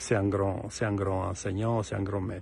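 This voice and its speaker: A man speaks with an Italian accent in a somewhat breathy voice. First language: Italian (speaking French). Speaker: composer. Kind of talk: recorded presentation to an ensemble. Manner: halting, many hesitations and repetitions.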